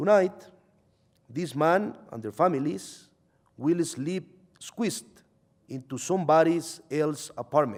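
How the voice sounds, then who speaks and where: A man's fairly high voice with a Salvadoran accent and ordinary pitch variation. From El Salvador. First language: Spanish. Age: 30s. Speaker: journalist. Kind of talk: reading aloud.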